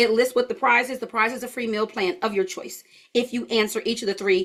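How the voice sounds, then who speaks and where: A fairly high pitch marks this voice. It belongs to a woman. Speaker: health educator teaching an online course. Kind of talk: live online class. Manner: casual, chatty.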